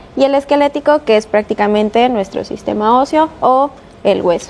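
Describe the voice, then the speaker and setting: Speaking with a Mexican accent, a woman uses lively intonation and a high pitch at a fairly slow pace over noticeable background noise. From Mexico, Veracruz. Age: 20s. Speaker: chiropractor. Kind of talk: interview.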